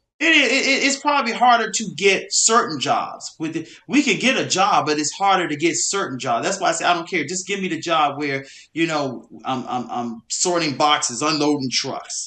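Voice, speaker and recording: A loud man's voice, high-pitched with a bright, sharp tone, very wide pitch swings and a moderate pace. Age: young. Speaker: podcast co-host. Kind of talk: casual chat. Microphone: far from the mic.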